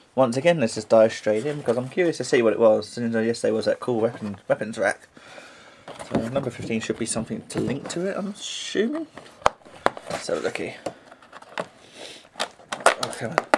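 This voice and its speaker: There is noticeable background noise as a man talks at a fairly quick pace. His speech is broken by long, frequent pauses. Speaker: toy unboxing youtuber. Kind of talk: casual unboxing vlog. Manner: animated.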